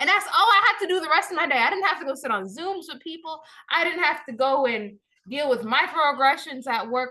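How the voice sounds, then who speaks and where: Her high pitch swinging very widely, a woman speaks at a fairly quick pace in a raised, projected voice with a bright, sharp, animated tone. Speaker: day trader. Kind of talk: screen-share tutorial.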